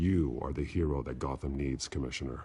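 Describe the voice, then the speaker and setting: A man does a growling put-on character voice, very deep and low in pitch. He speaks at a fairly quick pace with fairly even intonation. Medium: video game. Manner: terse, low.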